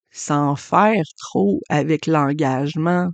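A woman speaks with a Quebec accent in a very deep, low pitch. The sound is dry and close with no echo, over a quiet background. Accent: Québécois French. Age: 40s. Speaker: podcast host and human design astrology reader. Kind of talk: solo podcast monologue.

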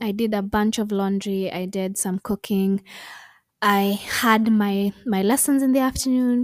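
A woman with a medium pitch speaks at a fairly slow pace. The recording is very clean, with a silent background and a dry, close sound with no echo. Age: 20s. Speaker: podcast host. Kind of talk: solo podcast monologue. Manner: animated.

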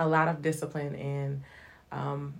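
Somewhat breathy and in a Southern US accent, a woman speaks at a very slow pace with audible room echo. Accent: Southern US (Georgia). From US South (Hinesville, Georgia). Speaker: evangelist and singer. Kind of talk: casual interview.

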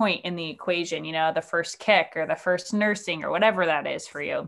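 With a normal speaking voice, a woman talks at a fairly quick pace in a medium pitch with ordinary pitch variation. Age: 20s. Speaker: musician and yoga teacher. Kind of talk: casual chat. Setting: video call.

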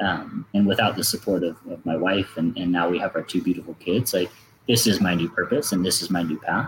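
A man talks at a fairly quick pace with a normal speaking voice. His pitch is fairly low, with ordinary pitch variation. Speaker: former pro cyclist, athlete marketing manager. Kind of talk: interview conversation.

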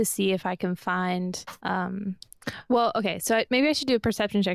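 This is a natural reading voice with ordinary pitch variation.

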